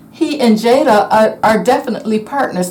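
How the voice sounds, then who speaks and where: A woman talks at a fairly slow pace. Audible room echo and noticeable background noise are present. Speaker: tarot reader. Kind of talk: tarot reading monologue. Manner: halting, many fillers.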